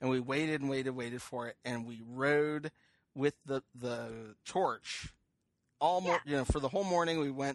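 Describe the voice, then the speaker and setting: A man with a plain, everyday voice speaks at medium pitch and a moderate pace, with ordinary pitch variation, in a dry, close sound with no echo and a quiet background. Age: 40s. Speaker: podcast co-host. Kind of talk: casual chat.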